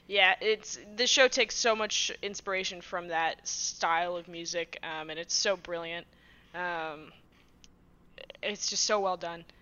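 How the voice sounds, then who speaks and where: A woman with an American accent has a plain, everyday voice, fairly low in pitch. She speaks at a fairly slow pace with ordinary pitch variation. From Massachusetts, US. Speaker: guest and site writer. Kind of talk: casual interview chat.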